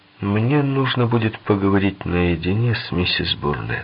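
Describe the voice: A man uses a put-on character voice, soft-spoken and fairly low with a slightly husky edge. His pitch swings widely. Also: moderate pace.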